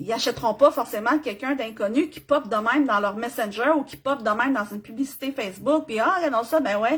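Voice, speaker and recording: High-pitched, animated woman at a fairly quick pace, ordinary pitch variation. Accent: Quebec. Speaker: business coach. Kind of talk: live stream tutorial. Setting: live video stream.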